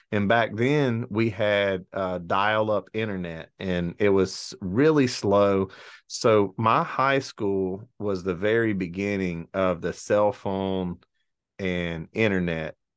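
In a quiet background, a man with an Alabama accent talks at a very slow pace, his fairly low pitch showing ordinary variation. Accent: Southern US (Alabama). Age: 40s. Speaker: entrepreneur and former police officer. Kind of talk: casual interview chat.

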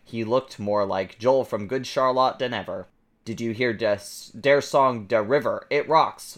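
Pitch variation here is ordinary. The delivery is a natural reading voice.

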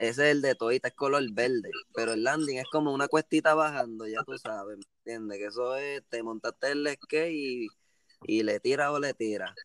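A man's fairly high-pitched, ordinary speaking voice, at a moderate pace with ordinary pitch variation, dry and close with no echo. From Puerto Rico, Cayey area. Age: 20s. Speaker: skateboarder and small dessert business owner. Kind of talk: casual chat.

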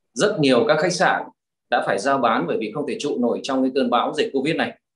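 A normal speaking voice moves at a fairly quick pace. The intonation is lively. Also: man. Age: 50s. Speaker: real estate investor and trainer. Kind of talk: interview.

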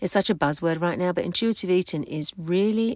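On a very clean recording with a silent background, a woman speaks in an ordinary speaking voice at a fairly quick pace with ordinary pitch variation. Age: 50s. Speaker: weight-loss coach and podcast host. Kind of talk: solo podcast talk. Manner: casual.

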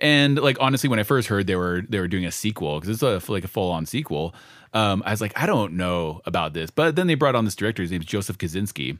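A man with fairly low pitch and lively intonation, talking at a very fast pace in a very clean recording with a silent background. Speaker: podcast co-host. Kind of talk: casual banter. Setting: garage studio. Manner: casual, joking.

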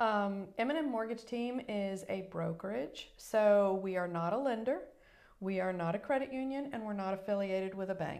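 With an American accent, a woman talks at a moderate pace and medium pitch, her voice showing ordinary pitch variation amid audible room echo. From Virginia (Newport News), US South. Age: 50s. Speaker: mortgage broker. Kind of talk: interview, personal testimony.

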